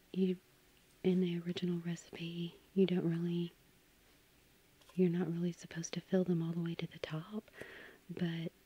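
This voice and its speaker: Soft-spoken and somewhat breathy, a woman talks in a relaxed tone with a fairly low pitch, a dark, mellow quality and monotone, flat intonation, in a dry sound with no echo. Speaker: home baker. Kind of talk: soft-spoken ASMR baking narration. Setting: home kitchen with microphone. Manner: soft-spoken, relaxed.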